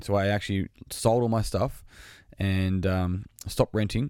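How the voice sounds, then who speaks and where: A man with an Australian accent speaks at a fairly low pitch, with ordinary pitch variation. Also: very clean recording, silent background. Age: 30s. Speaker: podcast host and fitness business owner. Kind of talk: solo podcast monologue. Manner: casual with many fillers.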